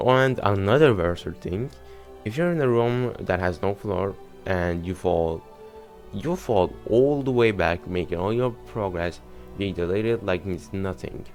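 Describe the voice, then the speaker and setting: Mumbled, fairly slow speech from a man with a non-native accent, fairly low in pitch, with lively intonation and music in the background. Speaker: gaming YouTuber. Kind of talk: casual gaming commentary. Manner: mumbling.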